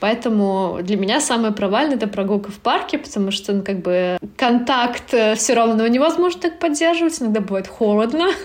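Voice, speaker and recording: Pitched fairly high, a woman speaks at a fairly quick pace with very wide pitch swings. Noticeable background noise is present. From Turkmenistan. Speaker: blogger. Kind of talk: casual chat.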